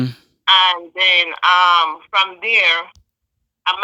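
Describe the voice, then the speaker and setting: In a Jamaican accent, a woman speaks at a very slow pace with long, frequent pauses, a bright, sharp tone, medium pitch and fairly even intonation. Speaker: nurse. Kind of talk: interview answer.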